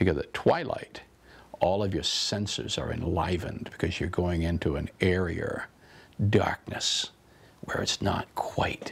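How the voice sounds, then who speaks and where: Whispering with an American accent, a man speaks at a fairly slow pace with long, frequent pauses. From Maine, US. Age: 60s. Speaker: storyteller. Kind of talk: interview talk.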